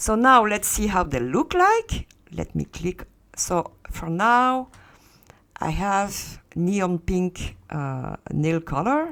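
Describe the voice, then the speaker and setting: A woman with a strong French accent speaks very slowly at a medium pitch, her voice swinging very widely in pitch. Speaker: Second Life content tutorial creator. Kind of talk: tutorial. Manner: hesitant, many fillers.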